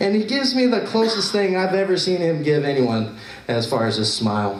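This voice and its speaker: A man talks at a moderate pace with an American accent. Noticeable background noise can be heard. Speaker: poet. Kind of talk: spoken word poem.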